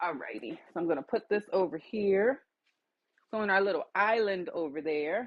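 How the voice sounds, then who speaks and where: At a moderate pace, a woman speaks with a medium pitch and lively intonation. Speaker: soap maker livestreamer. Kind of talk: live tutorial. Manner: louder than usual; casual, chatty.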